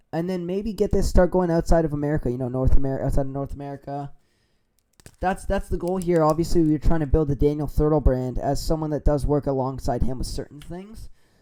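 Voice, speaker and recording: A man's fairly high voice at a very fast pace, with ordinary pitch variation, big swings in loudness and music in the background. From Canada. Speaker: streamer. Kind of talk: casual chat.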